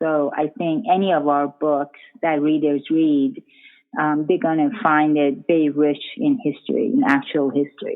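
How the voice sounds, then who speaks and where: A woman with a very deep, low pitch speaks at a moderate pace, her loudness very even and her pitch variation ordinary. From Iran. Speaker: author. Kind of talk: interview. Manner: halting, many fillers.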